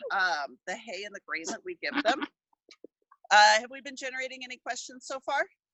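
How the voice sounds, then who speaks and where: A loud voice with very wide swings in pitch. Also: woman. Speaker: small backyard farmer showing animals to a class. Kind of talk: live tour and demonstration for students. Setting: video call outdoors in backyard.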